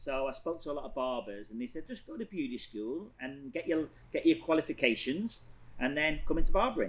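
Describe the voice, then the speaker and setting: Moving at a fairly quick pace, a man with an English accent speaks at a fairly high pitch, with very wide pitch swings and big swings in loudness. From northern England, Blackpool. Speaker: hairstylist and salon owner. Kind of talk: casual interview chat.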